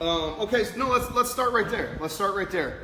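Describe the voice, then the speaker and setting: A raised, projected voice with an American accent and an animated tone comes at a moderate pace over noticeable background noise. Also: man. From Kansas, US. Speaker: podcast host. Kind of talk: casual chat.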